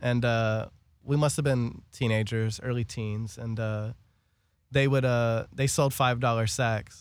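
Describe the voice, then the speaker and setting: A man's medium-pitched voice at a fairly slow pace, fairly even in intonation, on a very clean recording with a silent background. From Los Angeles, US. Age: 30s. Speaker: cannabis radio show host. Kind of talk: casual chat. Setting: studio.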